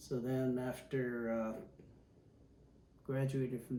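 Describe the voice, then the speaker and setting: A man speaks at a medium pitch with an Upper Midwest accent, his intonation monotone and flat. Audible room echo surrounds his voice. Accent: Upper Midwest American. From Milwaukee, Wisconsin, US Midwest. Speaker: retired pilot. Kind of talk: oral history interview. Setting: at home.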